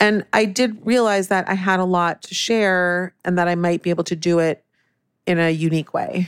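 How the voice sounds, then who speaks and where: A woman with an American accent has a plain, everyday voice at medium pitch, with fairly even intonation and a moderate pace. The recording is very clean with a silent background, and the sound is dry and close with no echo. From Northern California. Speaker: cookbook author. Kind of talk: casual interview.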